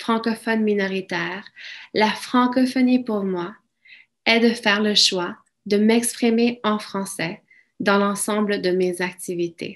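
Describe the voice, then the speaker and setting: Over a quiet background, a woman with a Spanish accent speaks very slowly at a medium pitch with fairly even intonation. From Mexico, raised in Alberta, Canada from childhood. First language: Spanish (speaking French). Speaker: francophone community member. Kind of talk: prepared speech.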